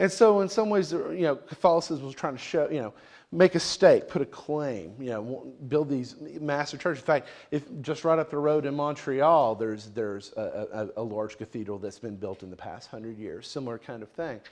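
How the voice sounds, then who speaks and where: In a Southern US accent, a man speaks at a moderate pace with a fairly high pitch, very wide pitch swings and big swings in loudness. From US South, Tennessee, rural. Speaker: researcher presenting on atheism. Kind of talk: lecture. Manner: halting, many fillers and repeats.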